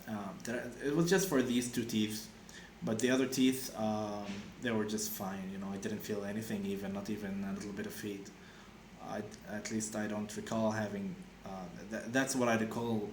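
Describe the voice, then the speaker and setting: A man talks with fairly low pitch and fairly even intonation. The recording has audible room echo and noticeable background noise. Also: moderate pace. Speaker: vlogger sharing personal experience. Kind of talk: casual monologue. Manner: halting, many fillers and restarts.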